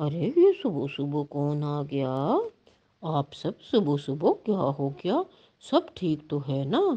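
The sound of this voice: Using a cartoonish character voice, a woman speaks at a fairly slow pace in a very deep, low pitch.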